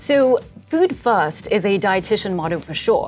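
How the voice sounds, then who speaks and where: Music plays behind a woman with a South African accent. Her medium-pitched voice makes very wide pitch swings. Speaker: dietitian. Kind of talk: interview.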